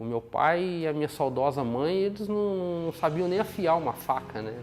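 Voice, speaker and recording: A man with a fairly high pitch talks with lively intonation at a moderate pace. Noticeable background noise runs underneath. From Brazil, Minas Gerais (São João del Rei). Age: 40s. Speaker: knifemaker. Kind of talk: documentary interview. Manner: halting, repeats words.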